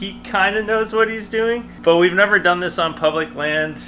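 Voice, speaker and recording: Faint music sits behind a man with a high voice. He keeps a moderate pace and ordinary pitch variation. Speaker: outdoor vlogger. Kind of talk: casual vlog chat. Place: garage. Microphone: phone near.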